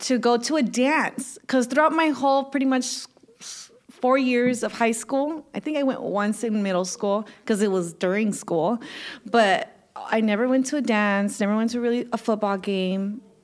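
A woman talks in an unremarkable speaking voice at a fairly high pitch. Her pace is moderate, with ordinary pitch variation. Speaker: podcast co-host. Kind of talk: casual interview chat.

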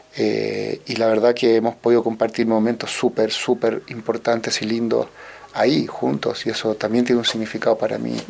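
Noticeable background noise accompanies this man as he speaks at a moderate pace. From Chile, Santiago. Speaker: orchestral musician and conductor. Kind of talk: radio interview.

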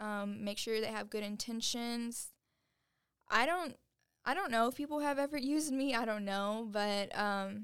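A woman with an unremarkable speaking voice, fairly high in pitch, at a moderate pace and with ordinary pitch variation. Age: 20s. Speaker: business founder and CEO. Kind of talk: casual chat.

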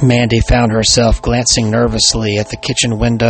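The speaker is reading aloud in a natural voice.

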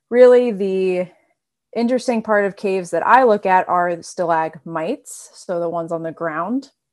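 Speaking with an American accent and a plain, everyday voice, a woman keeps a moderate pace at a medium pitch with ordinary pitch variation. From North Carolina. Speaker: PhD student, geoscientist. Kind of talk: interview.

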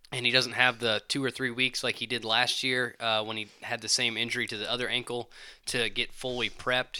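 On a very clean recording with a silent background, a man with a Southern US accent talks at a fairly quick pace in a bright, sharp tone at medium pitch. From Alabama, US South. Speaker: paramedic. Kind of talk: casual chat.

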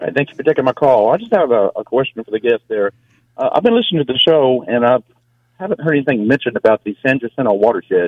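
Someone speaks at a very fast pace with an American accent. The pitch shows ordinary variation. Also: man, medium pitch for a man. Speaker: caller. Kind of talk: call-in question. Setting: phone call.

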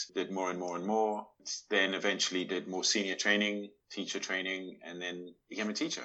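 A man with a slight South African accent speaks at a very deep, low pitch. His fairly quick delivery keeps a fairly even intonation, with hardly any pauses. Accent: South African, subtle. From Johannesburg, South Africa. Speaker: Tai Chi teacher and artist. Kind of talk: casual interview chat. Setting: video call.

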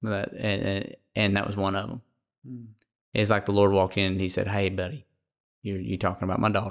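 A man's fairly low voice, fairly quick yet broken by long, frequent pauses, with fairly even intonation and a very clean recording against a silent background. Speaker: co-host. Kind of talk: casual conversational podcast chat. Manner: warm, casual, conversational.

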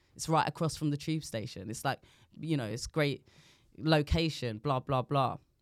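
On a very clean recording with a silent background, the speaker talks at a moderate pace with ordinary pitch variation in a South London accent. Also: woman, very deep, low pitch for a woman. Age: 40s. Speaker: comedian. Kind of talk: casual chat.

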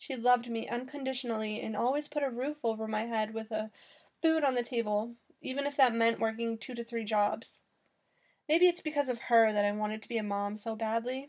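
A woman has an unremarkable speaking voice and a fairly high pitch. She talks at a fairly quick pace with ordinary pitch variation. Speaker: blogger and podcast host. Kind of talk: personal story reading.

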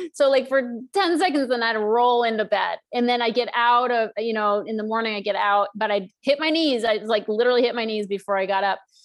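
With an American accent, a woman talks in an ordinary speaking voice at a fairly quick pace, with a fairly high pitch, ordinary pitch variation and hardly any pauses. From US Northeast. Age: 50s. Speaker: author and emotional eating coach. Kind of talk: interview.

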